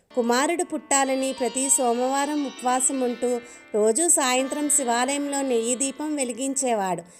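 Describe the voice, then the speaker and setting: A calm woman's voice, high-pitched, with ordinary pitch variation and music in the background. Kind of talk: devotional story narration in Telugu. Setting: voice-over with background music. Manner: calm, devotional.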